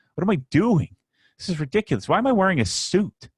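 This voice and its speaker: A man's somewhat breathy voice with an American accent and very wide pitch swings, dry and close with no echo, on a very clean recording with a silent background. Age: 40s. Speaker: YouTuber and business owner. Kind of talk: interview. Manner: animated.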